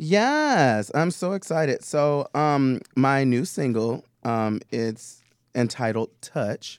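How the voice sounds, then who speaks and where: A man with an American accent speaks very slowly, his pitch fairly high and his intonation lively. The recording is very clean, with a silent background. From Tennessee. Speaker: drag performer and singer. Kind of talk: casual chat. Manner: animated.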